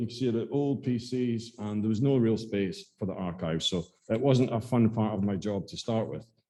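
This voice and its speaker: A man with an Aberdeen accent talks at a medium pitch with ordinary pitch variation. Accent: Scottish (Aberdeen). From Scotland, Aberdeen. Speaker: school archivist and librarian. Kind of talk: talk to a local society. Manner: hesitant, many fillers and repetitions.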